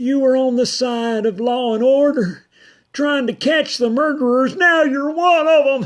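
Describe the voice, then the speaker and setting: Putting on a character voice, a woman speaks at a moderate pace in a high, shaky pitch with ordinary pitch variation. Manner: reproachful, pained.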